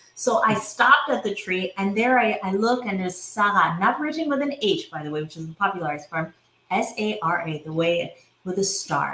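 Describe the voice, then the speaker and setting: With an American accent, a woman of medium pitch talks at a fairly quick pace, her tone animated and her intonation lively. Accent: sounds American. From India. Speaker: entrepreneur and visionary coach. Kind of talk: casual interview conversation. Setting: podcast recording.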